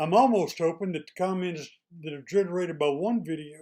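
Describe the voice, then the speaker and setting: With an East Texas accent, a man speaks at a high pitch in a dark, mellow tone. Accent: East Texas drawl. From East Texas, small town. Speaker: retired state employee, YouTuber. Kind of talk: casual monologue to camera. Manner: plainspoken, folksy.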